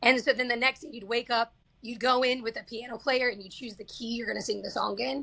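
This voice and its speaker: In a slight Southern US accent, a woman talks at a very fast pace with an animated, bright, sharp tone, a fairly high pitch, vocal fry and big swings in loudness. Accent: slight Southern twang. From Kansas. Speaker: singer-songwriter. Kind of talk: casual interview chat.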